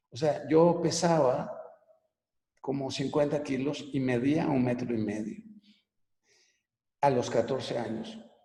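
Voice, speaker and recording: Speaking at a very slow pace, a man uses a fairly high pitch with ordinary pitch variation. Long, frequent pauses break his speech, and the room echo is audible. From Venezuela (Caracas), then Mexico from age 12. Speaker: business coach and author. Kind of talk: personal life story in a webinar talk. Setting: online live broadcast. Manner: casual, conversational.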